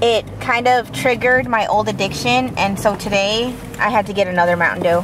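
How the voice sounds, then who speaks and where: There is noticeable background noise. A woman speaks with ordinary pitch variation. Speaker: military wife, stay-at-home mother. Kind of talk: casual vlog talk to camera. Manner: fast.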